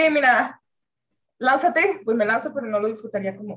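Somewhat breathy and fairly high-pitched, a woman speaks at a fairly quick pace with ordinary pitch variation. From Venezuela. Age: 20s. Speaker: university student. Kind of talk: casual chat.

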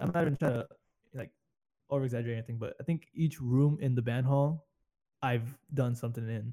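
The man's tone is dark and mellow, somewhat breathy. He speaks with an American accent. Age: 20s. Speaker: podcast host. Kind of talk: casual chat. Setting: online call from home computers.

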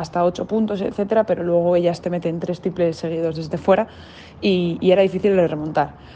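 Her dark, mellow voice runs at a very fast pace, fairly low in pitch for a woman and flat and monotone in intonation. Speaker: basketball player. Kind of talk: interview.

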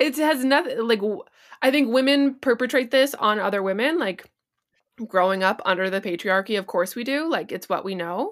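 A woman talks in an ordinary speaking voice with lively intonation. The recording is very clean, with a silent background. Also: fairly high pitch for a woman, moderate pace. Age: 20s. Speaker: podcast co-host. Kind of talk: casual chat.

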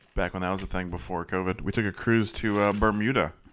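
Pitched fairly low with ordinary variation, this man has a plain, everyday voice. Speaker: podcast host. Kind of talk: casual banter about movies.

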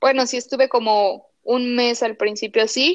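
In an ordinary speaking voice, a woman talks at a fairly slow pace with fairly even intonation against a quiet background. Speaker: animation artist. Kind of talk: interview.

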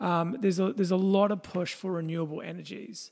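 Fairly quick speech in an Australian accent. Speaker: podcast host. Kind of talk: casual chat.

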